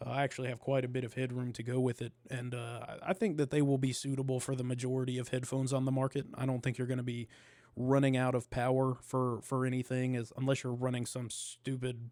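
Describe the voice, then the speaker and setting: With a dark, mellow tone, a man speaks very fast in a monotone, flat intonation. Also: medium pitch for a man, hardly any pauses. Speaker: podcaster. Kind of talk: casual chat.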